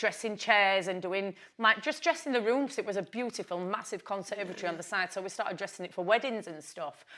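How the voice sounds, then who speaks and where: A woman with a Yorkshire accent at a fairly quick pace, on a very clean recording with a silent background. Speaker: businesswoman. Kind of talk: interview. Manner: loud.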